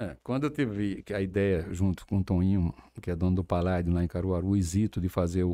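Very deep and low in pitch, a man's voice carries a dark, mellow tone. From Campina Grande, Paraíba, Brazil. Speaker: events entrepreneur. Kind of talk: interview.

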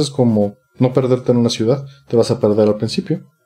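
This man has a normal speaking voice. He keeps a moderate pace. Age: 40s. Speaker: retro gaming enthusiast. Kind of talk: casual chat.

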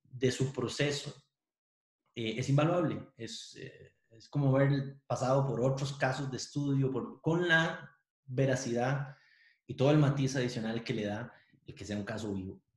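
Man's medium-pitched, somewhat breathy voice at a fairly slow pace, with ordinary pitch variation and big swings in loudness. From Costa Rica, Pérez Zeledón. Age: 40s. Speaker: university professor and lawyer. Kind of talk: interview conversation.

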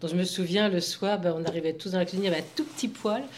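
Noticeable background noise sits under the recording. The woman's pitch is fairly low. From Anjou, western France. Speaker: grandmother sharing memories. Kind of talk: casual group conversation.

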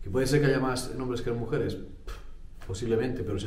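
A man's fairly even intonation is heard through audible room echo and noticeable background noise. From Spain. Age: 40s. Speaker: tech youtuber. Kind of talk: personal monologue.

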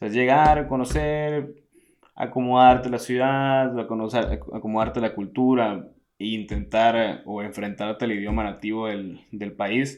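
At a fairly slow pace, a man speaks with medium pitch and ordinary pitch variation. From Mexico, Hermosillo, Sonora. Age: 20s. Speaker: traveller. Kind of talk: interview. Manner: halting.

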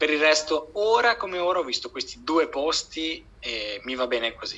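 With hardly any pauses, a man speaks at a moderate pace in a fairly high pitch with lively intonation over noticeable background noise. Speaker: PhD student. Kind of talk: casual chat.

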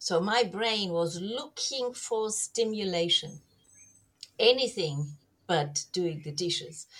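The intonation is lively. The pace is very slow. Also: woman, medium pitch for a woman. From Germany. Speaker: herbal medicine and kinesiology practitioner. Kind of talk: interview.

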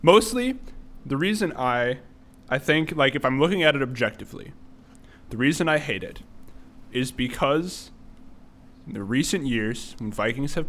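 A man's fairly high voice with lively intonation. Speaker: podcast co-host. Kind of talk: casual chat.

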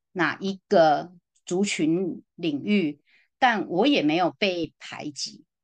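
The speech comes at a very slow pace, with a quiet background and a dry, close sound with no echo. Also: woman, fairly low pitch for a woman, lively intonation. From Taiwan. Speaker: social worker. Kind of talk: casual interview conversation. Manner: hesitant, many fillers.

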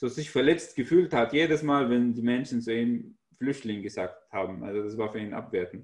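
With an Arabic accent, a man speaks at a medium pitch. His pace is moderate and his pitch variation ordinary. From Syria (Damascus). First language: Arabic (speaking German). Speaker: author and stand-up comedian. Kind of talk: casual chat.

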